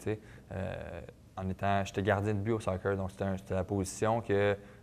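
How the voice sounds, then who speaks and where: A Quebec accent in a flat monotone at a moderate pace. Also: man, fairly low pitch for a man. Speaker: professional football player. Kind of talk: TV sports interview. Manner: hesitant, many fillers and repetitions.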